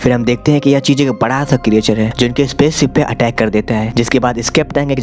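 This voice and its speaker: A man speaks at medium pitch and a moderate pace with fairly even intonation. Music plays in the background. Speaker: movie explainer. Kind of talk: movie plot recap narration. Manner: casual, friendly.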